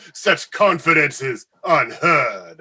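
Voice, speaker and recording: The man adopts a put-on character voice pitched high. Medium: audio drama. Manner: theatrical, laughing.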